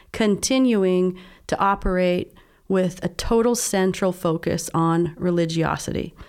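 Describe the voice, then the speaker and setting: Medium-pitched woman with an American accent, ordinary pitch variation and a plain, everyday voice, on a very clean recording with a silent background. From US, southern Utah. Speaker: life coach. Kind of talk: interview.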